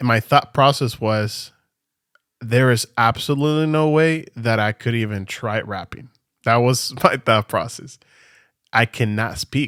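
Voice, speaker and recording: The sound is dry and close, with no echo. A man with a non-native accent speaks at a fairly slow pace. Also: medium pitch for a man, ordinary pitch variation, very clean recording, silent background. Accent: noticeable non-native pronunciation. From Venezuela. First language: Spanish. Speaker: podcast co-host, church worship singer. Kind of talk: casual chat.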